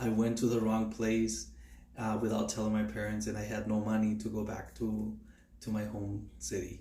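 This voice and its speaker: Audible room echo surrounds a man speaking at a moderate pace in a Spanish accent. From Mexico, Durango. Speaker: nursing student. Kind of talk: class self-introduction. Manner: halting, many fillers.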